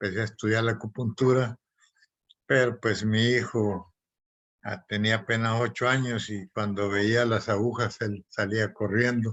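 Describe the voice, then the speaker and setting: This man talks fairly slowly. He delivers every line in a flat monotone. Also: medium pitch for a man. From Honduras, Copán Ruinas. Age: 70s. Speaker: physician. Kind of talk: presentation. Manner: halting.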